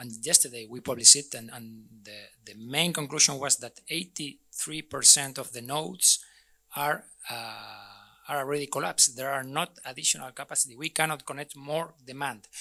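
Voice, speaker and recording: With a bright, sharp tone and a fairly high pitch, a man speaks at a moderate pace, his intonation fairly even while his loudness swings widely. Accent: Spanish. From Spain. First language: Spanish. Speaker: energy utility expert, conference panelist. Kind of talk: panel discussion. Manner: halting, many repetitions and fillers.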